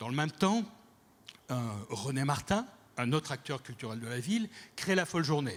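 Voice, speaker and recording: Somewhat breathy, a man speaks with lively intonation at a moderate pace. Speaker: cultural director. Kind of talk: conference talk.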